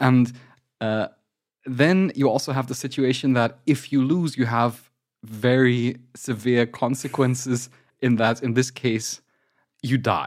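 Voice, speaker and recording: With a German accent and a medium pitch, a man speaks at a fairly slow pace with fairly even intonation and long, frequent pauses, in a very clean recording with a silent background. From Germany. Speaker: podcast host and game scholar. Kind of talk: casual chat.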